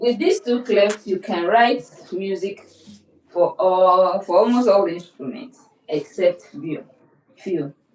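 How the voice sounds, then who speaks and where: A very slow pace broken by long, frequent pauses. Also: woman, medium pitch for a woman, ordinary pitch variation. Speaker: music teacher. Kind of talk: lecture. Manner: repetitive.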